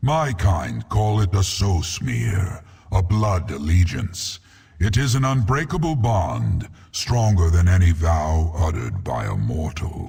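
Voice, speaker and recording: A man puts on a character voice, pitched very deep and low, and delivers his lines fairly slowly. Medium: video game. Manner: grave, measured, imposing.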